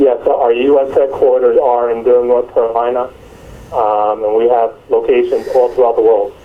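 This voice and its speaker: In a New Jersey accent, the speaker keeps very even loudness at a moderate pace over noticeable background noise. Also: man. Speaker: medical company marketing manager. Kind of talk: interview.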